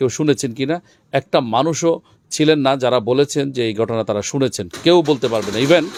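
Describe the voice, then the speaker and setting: A man with an ordinary speaking voice talks at medium pitch with ordinary pitch variation, in a dry, close sound with no echo on a very clean recording with a silent background. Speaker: field reporter for an Islamic foundation's channel. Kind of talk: on-site report and street interviews.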